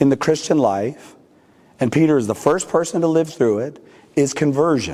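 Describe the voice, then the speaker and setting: With a West Coast accent, a man speaks at a moderate pace in a fairly high pitch, with ordinary pitch variation. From California, US. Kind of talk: talk to a parish audience. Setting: church with live audience. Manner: usually loud, quieter today.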